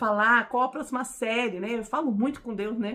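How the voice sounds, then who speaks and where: The woman speaks with an animated tone. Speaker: Bible teacher. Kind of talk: Bible teaching. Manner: fast.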